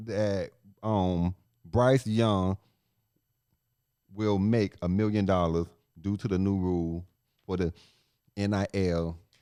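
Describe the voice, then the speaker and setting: Fairly slow pace and a dark, mellow tone from a man. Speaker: sports podcast co-host. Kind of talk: casual sports talk podcast. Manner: loud.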